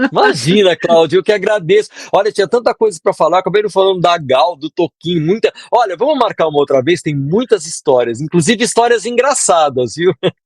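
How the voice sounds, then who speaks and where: Speaking at a fairly quick pace with hardly any pauses, a man uses a high pitch and lively intonation, and the sound is dry and close with no echo. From southern Brazil, Porto Alegre. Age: 60s. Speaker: composer and music producer. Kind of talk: interview.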